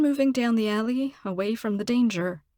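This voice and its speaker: A woman speaks in a plain, everyday voice at a fairly high pitch and a moderate pace with ordinary pitch variation, the sound dry and close with no echo on a very clean recording with a silent background. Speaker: voice actor, audiobook narrator. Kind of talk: audiobook narration.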